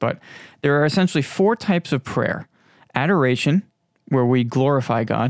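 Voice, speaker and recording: In a New York accent, a man speaks at a moderate pace. The recording is very clean, with a silent background and a dry, close sound lacking echo. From Long Island, New York. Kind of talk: religious teaching monologue. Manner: halting, many fillers.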